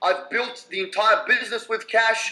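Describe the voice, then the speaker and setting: With an Australian accent, a man projects a raised, high-pitched voice at a moderate pace and with fairly even intonation amid noticeable background noise. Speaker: real estate investor. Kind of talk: Q&A answer.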